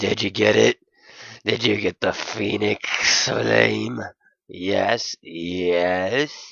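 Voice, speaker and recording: A man puts on a gruff character voice, very deep and low in pitch. He speaks at a very slow pace with very wide pitch swings. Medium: read story.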